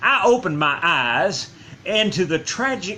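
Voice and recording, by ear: In a natural voice, the passage is read aloud with lively intonation.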